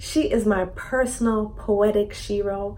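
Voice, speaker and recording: A woman's medium-pitched voice comes through with noticeable background noise behind it. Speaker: podcast host. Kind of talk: series introduction to camera.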